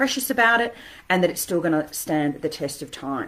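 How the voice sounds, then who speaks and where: A woman with an Australian accent and very wide pitch swings. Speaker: interior designer. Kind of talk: live stream talk. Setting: standing home office desk. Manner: fast.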